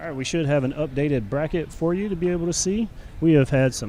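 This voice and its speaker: A man with a fairly high-pitched voice talks at a fairly quick pace over music in the background. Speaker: jiu-jitsu live commentator. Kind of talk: live commentary.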